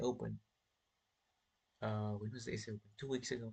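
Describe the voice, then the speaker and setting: A man talks at a fairly quick pace, sounding somewhat breathy. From South Africa. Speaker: chess streamer. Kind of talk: casual live stream chat while playing chess. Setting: live stream.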